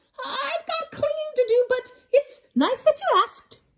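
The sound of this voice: This is a put-on character voice with lively intonation. The pace is fairly slow. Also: woman, extremely high pitch for a woman.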